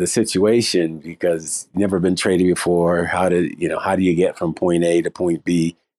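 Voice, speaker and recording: A man with an American accent speaks at a very deep, low pitch in a dark, mellow tone, the sound dry and close with no echo. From Boston, US. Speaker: parent of a pro basketball player. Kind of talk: casual chat. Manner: halting, repeats words.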